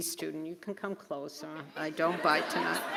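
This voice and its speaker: A woman with a Boston accent speaks with fairly even intonation over crowd noise in the background. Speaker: nursing school faculty presenting awards. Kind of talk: award ceremony presentation. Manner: casual, with filler words.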